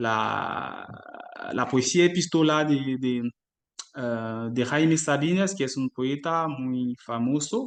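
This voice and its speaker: A man with a French accent at a medium pitch, at a very slow pace, with ordinary pitch variation. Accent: French-speaking non-native Spanish. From Ivory Coast. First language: French (speaking Spanish). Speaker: doctoral researcher in literature. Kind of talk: academic talk. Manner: halting, many fillers.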